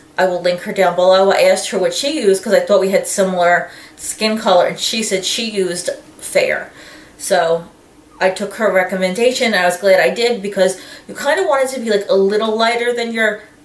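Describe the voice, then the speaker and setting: Talking at a fairly quick pace with ordinary pitch variation, a woman is heard amid audible room echo. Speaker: beauty vlogger. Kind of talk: casual vlog chat. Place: home room. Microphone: camera far.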